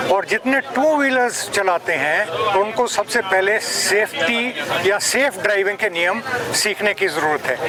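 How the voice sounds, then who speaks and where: Over crowd noise in the background, a man projects a raised voice at high pitch, his intonation lively and his loudness very even. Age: 70s. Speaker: retired army brigadier and motorcyclist. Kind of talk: interview.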